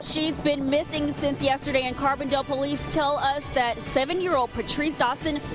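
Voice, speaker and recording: With music in the background, a woman in an American accent speaks at a moderate pace and a high pitch. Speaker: TV news anchor and reporter. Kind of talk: TV news anchor and field reporter reel. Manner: polished, clear, broadcast delivery.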